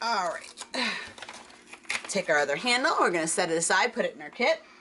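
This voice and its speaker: Noticeable noise lies under a woman's medium-pitched voice at a fairly quick pace. Her pitch swings very widely and her loudness shifts a lot. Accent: American. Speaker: crafting video creator. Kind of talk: tutorial. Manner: chatty.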